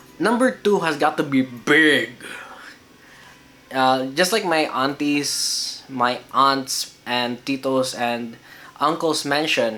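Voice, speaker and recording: Noticeable background noise under very slow speech, the pitch varying in an ordinary way. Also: man, fairly high pitch for a man. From Philippines. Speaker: vlogger. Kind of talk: casual vlog talk. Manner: hesitant, many fillers.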